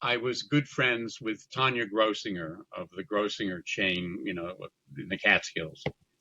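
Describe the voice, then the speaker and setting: With an American accent, a man talks at a fairly low pitch and a moderate pace, using lively intonation and a bright, sharp tone. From US Midwest. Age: 80s+. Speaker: theater producer and memoir author. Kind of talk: interview conversation.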